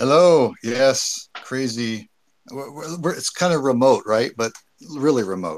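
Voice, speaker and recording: A man's medium-pitched voice, a plain, everyday voice at a fairly slow pace with ordinary pitch variation, in a very clean recording with a silent background. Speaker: live stream participant. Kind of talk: casual chat.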